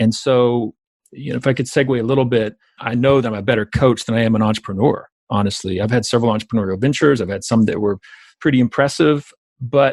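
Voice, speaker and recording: Very fast speech in a Southern accent, dry and close with no echo. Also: man. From US South, South Georgia. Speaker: entrepreneurship educator and author. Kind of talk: podcast interview. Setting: call.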